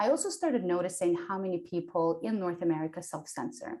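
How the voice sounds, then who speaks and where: The speech moves at a moderate pace, with very wide swings in pitch. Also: woman. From Ukraine. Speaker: entrepreneur and public speaker. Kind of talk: interview.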